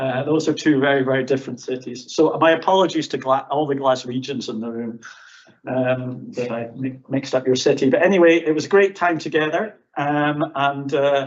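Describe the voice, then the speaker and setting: Speaking with a fairly high pitch, a man keeps a moderate pace and ordinary pitch variation. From Scotland. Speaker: professor. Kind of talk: conference presentation. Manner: hesitant, many fillers.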